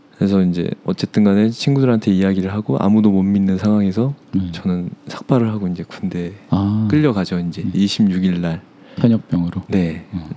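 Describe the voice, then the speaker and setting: Over noticeable background noise, a man talks at a fairly low pitch with hardly any pauses. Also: ordinary pitch variation, moderate pace. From South Korea, Seoul area. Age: 30s. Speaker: interview guest. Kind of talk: personal life story interview.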